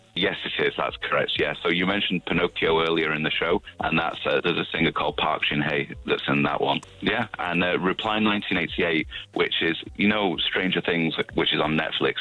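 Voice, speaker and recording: Noticeable background noise sits behind a man with a Manchester accent. He speaks at a fairly quick pace with hardly any pauses and very even loudness. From northern England, Manchester. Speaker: K-pop radio show host, interview guest. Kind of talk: radio interview.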